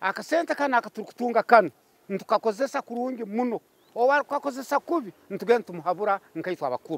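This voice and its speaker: A man speaks at a fairly quick pace with very wide pitch swings. The sound is dry and close, with no echo. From Western Uganda. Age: old. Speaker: pension recipient. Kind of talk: testimony.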